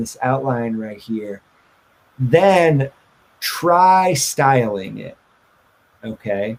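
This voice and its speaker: A man speaks in a plain, everyday voice. His pitch is medium and his intonation lively. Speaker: web development teacher. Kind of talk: lecture.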